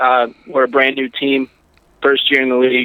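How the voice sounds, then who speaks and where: A man speaks at a medium pitch with a northeastern Pennsylvania accent. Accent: northeastern Pennsylvania American. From northeastern Pennsylvania, Wilkes-Barre. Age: 20s. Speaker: football head coach. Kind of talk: interview.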